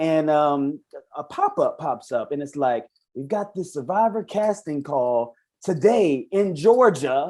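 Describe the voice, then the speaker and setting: A man speaks at a fairly slow pace in a Southern US accent, his pitch fairly high. His tone is dark and mellow, with lively intonation. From South Carolina, Orangeburg. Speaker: reality show contestant. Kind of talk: interview podcast. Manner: casual.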